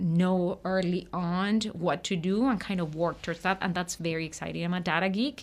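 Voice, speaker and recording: A woman speaks in a normal speaking voice with a fairly low pitch and fairly even intonation. The recording is very clean, with a silent background. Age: 30s. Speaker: nonprofit census project director. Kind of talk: radio interview.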